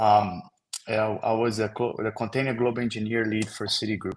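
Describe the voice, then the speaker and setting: Speaking with a Brazilian accent, a man keeps fairly even intonation at a fairly low pitch. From Brazil, Rio de Janeiro. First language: Portuguese. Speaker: software engineer. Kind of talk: technical presentation.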